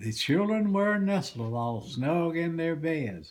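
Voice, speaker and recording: Speaking at a very slow pace, a man with a medium pitch makes very wide pitch swings. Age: 80s+. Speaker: great-grandfather. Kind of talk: poetry reading.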